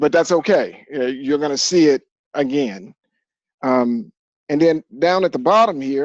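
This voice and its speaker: With an ordinary speaking voice, a man talks fairly slowly and with lively intonation, the sound dry and close with no echo. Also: fairly high pitch for a man. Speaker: physics teacher. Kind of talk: classroom lecture.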